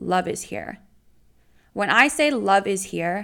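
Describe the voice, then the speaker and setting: A woman's animated voice at a medium pitch with vocal fry, on a very clean recording with a silent background. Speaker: podcast co-host. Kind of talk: casual chat.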